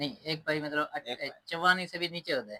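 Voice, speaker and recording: This man has an unremarkable speaking voice, pitched fairly high, with ordinary pitch variation. The sound is dry and close, with no echo. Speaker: interview host / YouTube channel presenter. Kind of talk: casual interview questions to camera.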